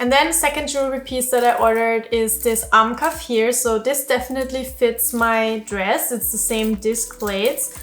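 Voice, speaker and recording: A woman talks with a non-native accent. Noticeable background noise can be heard. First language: not English. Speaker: fashion YouTuber. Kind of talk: try-on haul review. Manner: casual, conversational.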